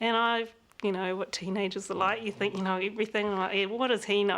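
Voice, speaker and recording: Speaking very fast in a New Zealand accent, the voice stays monotone and flat. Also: woman. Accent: Kiwi. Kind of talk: interview.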